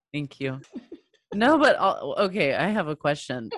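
A woman with a fairly low pitch against a quiet background. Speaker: podcast co-host. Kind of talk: guided meditation.

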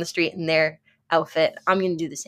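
A woman with an American accent speaks at a fairly quick pace and a fairly low pitch in a very clean recording with a silent background. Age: 20s. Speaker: content creator and health coach. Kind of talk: casual interview.

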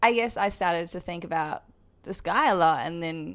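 Recorded very cleanly against a silent background, a woman with a New Zealand accent speaks at a moderate pace. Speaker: model and actress. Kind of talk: casual interview chat.

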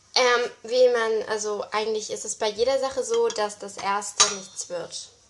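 Noticeable background noise sits under a woman's fairly high voice. She speaks at a fairly slow pace with fairly even intonation. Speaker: amateur podcaster. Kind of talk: cooking vlog narration. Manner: casual, hesitant with fillers.

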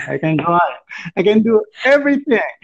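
A man with an Arabic accent talks at a fairly slow pace. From Palestine, Gaza Strip. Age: 20s. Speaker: guest. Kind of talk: casual chat. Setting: phone call. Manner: halting.

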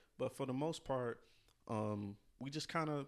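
Against a quiet background, a man with an American accent speaks at medium pitch with fairly even intonation. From Louisiana. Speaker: podcast co-host. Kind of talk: casual chat.

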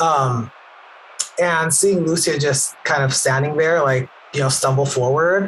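A plain, everyday voice, fairly slow in pace and ordinary in pitch variation. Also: man. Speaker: player of a wrestler character. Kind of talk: casual tabletop role-play.

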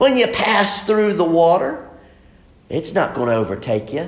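Amid noticeable background noise and audible room echo, a man speaks at a moderate pace and a high pitch, with very wide pitch swings. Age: 30s. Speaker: pastor. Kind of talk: sermon.

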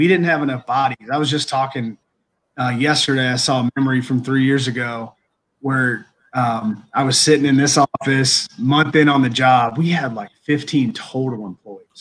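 A man speaks at a moderate pace with an unremarkable speaking voice. His pitch varies in an ordinary way. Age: 30s. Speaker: college athletic director. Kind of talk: interview.

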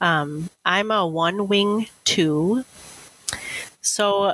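A woman's bright, sharp tone with an Upper Midwest accent. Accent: Upper Midwest American. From northwestern Wisconsin. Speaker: library director. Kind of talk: interview conversation.

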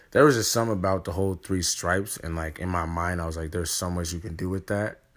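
Speaking at a fairly quick pace, a man with a very deep, low pitch shows ordinary pitch variation on a very clean recording with a silent background. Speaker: guest. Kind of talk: casual conversation. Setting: at home.

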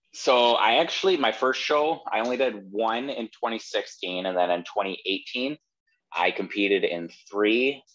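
An unremarkable speaking voice with an American accent goes at a fairly slow pace, its intonation lively. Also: man, medium pitch for a man. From Wisconsin. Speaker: bodybuilding posing coach. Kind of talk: casual interview.

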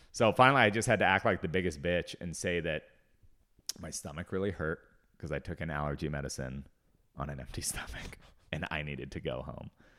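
A man with an American accent and vocal fry speaks at a fairly quick pace with ordinary pitch variation in a very clean recording with a silent background. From US Pacific Northwest, Seattle. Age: 30s. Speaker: comedian. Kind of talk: casual chat.

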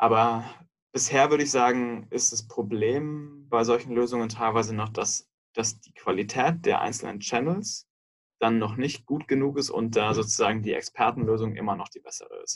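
This man has a normal speaking voice at a medium pitch. He keeps a moderate pace and fairly even intonation. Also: big swings in loudness. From Munich, Bavaria (southern Germany). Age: 30s. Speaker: software company executive. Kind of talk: interview.

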